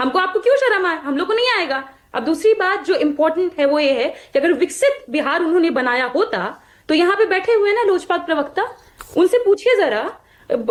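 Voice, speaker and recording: A woman's extremely high voice with very wide pitch swings. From Bihar, Magadh region. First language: Magahi (speaking Hindi). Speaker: party spokesperson. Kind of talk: heated debate. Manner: animated.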